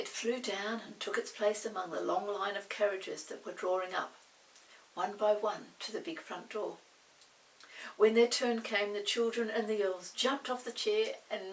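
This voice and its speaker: A woman with a fairly high pitch speaks at a moderate pace, leaving long, frequent pauses, her loudness swinging widely over noticeable background noise. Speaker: storybook read-aloud narrator. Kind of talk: children's storybook reading.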